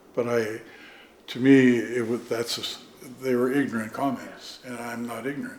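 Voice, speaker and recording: Through noticeable background noise and audible room echo, a man speaks at medium pitch and a moderate pace in a monotone, flat intonation. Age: 70s. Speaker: artist and carver. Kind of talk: casual interview. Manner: halting.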